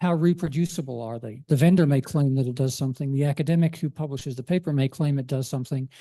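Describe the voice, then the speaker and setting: A man speaks very fast with a fairly high pitch, a dark, mellow tone and a somewhat breathy quality. The background is quiet, and the sound is dry and close with no echo. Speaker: DICOM standard editor and imaging informatics consultant. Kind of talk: conference presentation.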